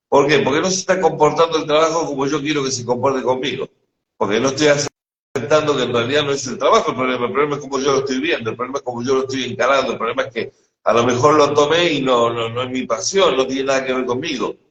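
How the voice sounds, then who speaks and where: A man with a fairly high voice in a Rioplatense accent, very fast in pace, with ordinary pitch variation. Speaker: spiritual teacher. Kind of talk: casual conversation. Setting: live stream.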